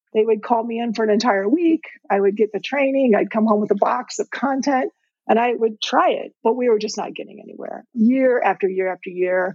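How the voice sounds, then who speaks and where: Using a plain, everyday voice, a woman with an American accent talks at a fairly quick pace with ordinary pitch variation. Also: fairly high pitch for a woman. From Indiana. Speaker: retired teacher and ed tech founder. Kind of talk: interview.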